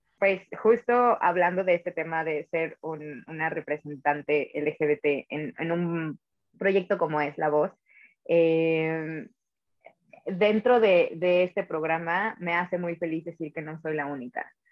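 At a very slow pace, a woman speaks with a fairly low pitch. Her pitch variation is ordinary. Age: 20s. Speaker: singer and musical theatre actress. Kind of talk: casual interview.

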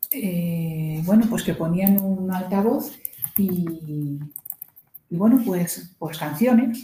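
A woman speaks very slowly at a medium pitch with lively intonation, in a dark, mellow and somewhat breathy tone. Audible room echo surrounds her voice. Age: 60s. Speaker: guest, host's mother. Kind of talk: casual chat about a book.

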